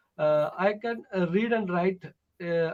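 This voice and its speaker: A man with a Tamil accent speaks in a high pitch. His pace is fairly slow, and his pitch variation is ordinary. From Tamil Nadu, South India. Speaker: English learner. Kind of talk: online tutoring conversation. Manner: halting, many fillers.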